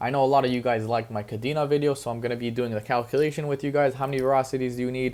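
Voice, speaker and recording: A man speaks at a very fast pace with hardly any pauses and fairly even intonation. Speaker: crypto YouTuber. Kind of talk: market analysis commentary.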